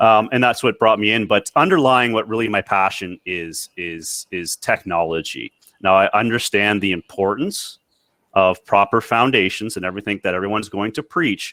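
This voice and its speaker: On a very clean recording with a silent background, a man with a Canadian accent speaks at a moderate pace in a bright, sharp tone with ordinary pitch variation. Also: fairly low pitch for a man, dry, close sound with no echo. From Canada. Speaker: maintenance reliability technology director. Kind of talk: panel discussion.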